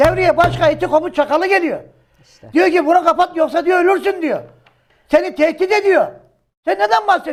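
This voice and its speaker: Animated and fairly quick, a man talks in an extremely high pitch, his loudness swinging widely. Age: 60s. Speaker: journalist. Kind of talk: heated political commentary.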